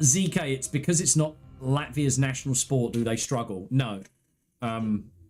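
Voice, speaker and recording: The pace is moderate, with ordinary pitch variation. Music sounds in the background. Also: man, medium pitch for a man. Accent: English. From England. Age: 30s. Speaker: gaming streamer. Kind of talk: live gameplay stream chat. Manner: animated.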